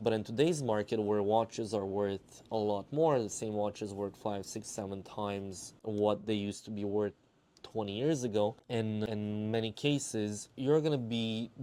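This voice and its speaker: A man with a Romanian accent speaks at a moderate pace in a fairly low voice with a dark, mellow tone. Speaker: watch dealer and collector. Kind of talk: casual explainer monologue.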